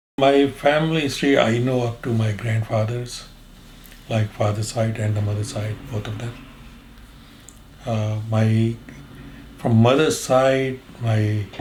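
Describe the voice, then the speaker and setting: Against noticeable background noise, a man speaks at a medium pitch and a fairly slow pace with fairly even intonation and long, frequent pauses. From Punjab, Pakistan. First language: Derawali (Saraiki). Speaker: Partition survivor. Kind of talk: interview answer.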